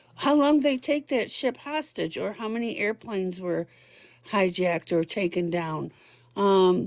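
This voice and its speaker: Over a silent background in a very clean recording, a woman speaks at a very slow pace with very wide swings in pitch. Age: 60s. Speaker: caller. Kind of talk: casual chat. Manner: halting.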